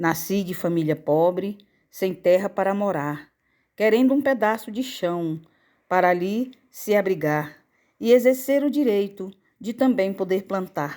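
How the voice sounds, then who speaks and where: A dark, mellow tone with lively intonation at a fairly slow pace. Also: woman, medium pitch for a woman. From Brazil, Maranhão (Bacabal). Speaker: author reading her own memoir. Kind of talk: audiobook reading of rhyming memoir.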